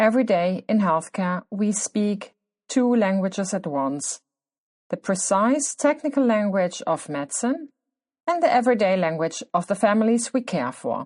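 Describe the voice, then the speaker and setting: A woman talks with a non-native accent at a moderate pace. Her pitch swings very widely. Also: medium pitch for a woman, dry, close sound with no echo, quiet background. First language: German. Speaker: podcast host, clinician working with children. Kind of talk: scripted podcast monologue.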